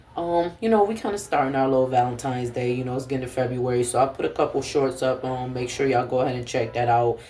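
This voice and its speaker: Speaking very fast, a man uses a medium pitch with ordinary variation. His voice is somewhat breathy. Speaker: vlogger. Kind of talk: casual vlog talk to camera. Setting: at home.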